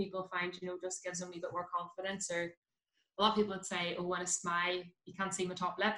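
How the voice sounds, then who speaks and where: The voice carries a bright, sharp tone with a Belfast accent. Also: woman. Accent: Belfast Northern Irish. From West Belfast, Northern Ireland. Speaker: dentist. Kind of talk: casual chat.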